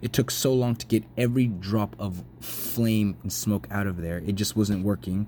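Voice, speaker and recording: A man speaking at a fairly low pitch, ordinary pitch variation throughout. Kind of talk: casual narration over photos. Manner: fast.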